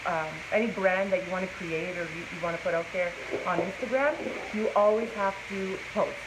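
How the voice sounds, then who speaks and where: Here a woman talks at a moderate pace. Noticeable background noise and audible room echo fill the recording. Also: medium pitch for a woman, ordinary pitch variation. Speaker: plus size model. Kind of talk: casual live-stream interview. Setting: inside a clothing store, Facebook live stream. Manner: naturally loud.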